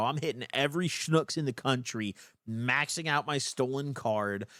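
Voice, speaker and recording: Speaking with an American accent at a fairly slow pace, a man with a fairly high pitch sounds animated on a very clean recording with a silent background. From Illinois, US. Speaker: livestreamer. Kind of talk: casual livestream commentary.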